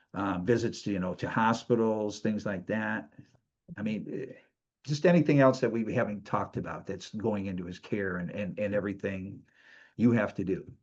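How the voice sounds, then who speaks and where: A man with a plain, everyday voice speaks at a fairly low pitch and moderate pace, with ordinary pitch variation. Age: 60s. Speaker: show host and kidney donor. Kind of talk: interview.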